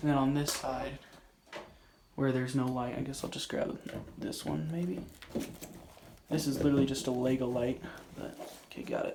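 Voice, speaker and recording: Noticeable background noise runs behind this man. He speaks at a medium pitch and a fairly quick pace with fairly even intonation. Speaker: hobby YouTuber. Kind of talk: casual vlog. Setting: outdoors. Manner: whispering; halting.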